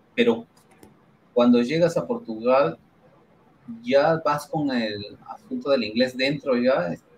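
A man at a very slow pace, with long, frequent pauses and ordinary pitch variation, over light background noise. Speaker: podcast host. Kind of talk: casual chat. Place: home room. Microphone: headset.

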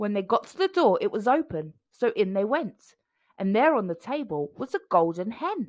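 A natural voice reading aloud, with a quiet background

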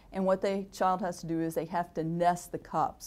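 A woman's fairly low voice at a moderate pace with fairly even intonation. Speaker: university professor. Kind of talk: interview answer. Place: meeting room. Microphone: lapel.

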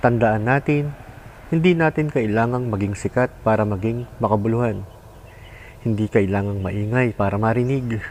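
Over noticeable background noise, a man speaks at a moderate pace in a calm tone. His medium pitch shows ordinary pitch variation. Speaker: vlogger. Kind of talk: reflective monologue.

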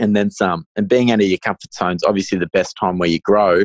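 Fairly quick, fairly low-pitched speech from a man with an Australian accent, ordinary pitch variation, a dry, close sound with no echo and a quiet background. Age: 20s. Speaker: first-time property investor. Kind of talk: podcast interview.

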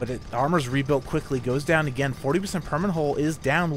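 A man talks in a calm tone with a fairly high pitch. His pace is moderate and his pitch varies in an ordinary way. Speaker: esports commentator. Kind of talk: live esports commentary. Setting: recorded commentary over game footage. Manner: fluent play-by-play, brisk and matter-of-fact, calm with slight hesitations.

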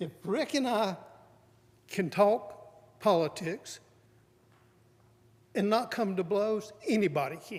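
A man speaks at a very slow pace with a North Carolina accent. His pitch shows ordinary variation. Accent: Southern US (North Carolina). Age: 70s. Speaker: public commenter. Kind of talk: public comment at county meeting. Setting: county board meeting room.

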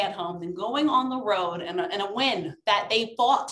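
A woman speaks with audible room echo and a quiet background. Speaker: sports commentator guest. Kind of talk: commentary. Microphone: video call.

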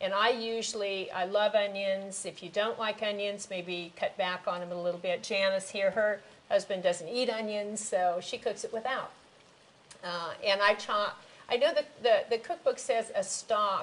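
The speaker is a woman. She moves at a moderate pace, her pitch shifting in an ordinary way. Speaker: cooking show host. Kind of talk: tutorial. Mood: warm, relaxed. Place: kitchen. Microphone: lapel.

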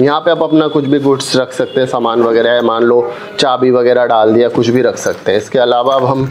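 Light background noise sits behind a man at a moderate pace. His intonation is fairly even and his loudness very even. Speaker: product reviewer. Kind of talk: unboxing demo.

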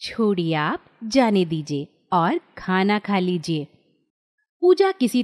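A woman speaks at a medium pitch in a calm tone, her pitch swinging very widely, with a dry, close sound that has no echo. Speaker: story narrator. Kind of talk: bedtime story narration. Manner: calm, storyteller tone.

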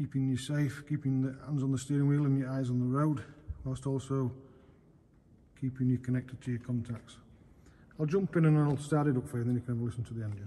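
A dark, mellow, somewhat breathy tone at a fairly quick pace, with fairly even intonation. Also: man. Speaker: car salesperson. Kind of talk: sales walkaround commentary. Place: garage. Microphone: phone near.

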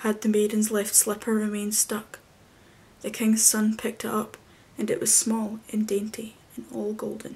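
Soft-spoken delivery at a moderate pace. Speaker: storyteller. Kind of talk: story reading aloud. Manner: soft-spoken, hushed bedtime reading. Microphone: webcam.

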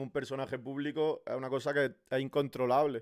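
Against a quiet background, a man talks in a monotone with flat intonation. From Spain. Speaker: content creator and streamer; content creator, streamer. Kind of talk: casual interview. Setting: live stream. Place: home room. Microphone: studio mic.

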